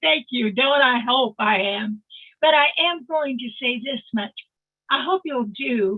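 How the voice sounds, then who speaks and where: Her high-pitched voice carries lively intonation while the woman keeps a fairly slow pace. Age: 80s+. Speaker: psychic medium. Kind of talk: casual chat. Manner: animated.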